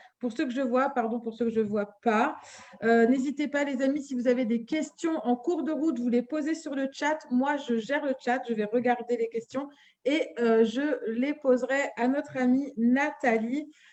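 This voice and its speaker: A woman speaks in a high voice at a fairly slow pace. Her intonation stays fairly even. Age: 40s. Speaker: holistic medicine practitioner, live show host. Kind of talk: live stream chat. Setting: Facebook live stream.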